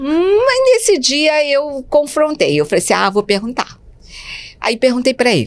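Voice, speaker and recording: Very wide pitch swings run through a woman's speech. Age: 60s. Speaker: speech therapist and educator. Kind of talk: interview storytelling. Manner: halting.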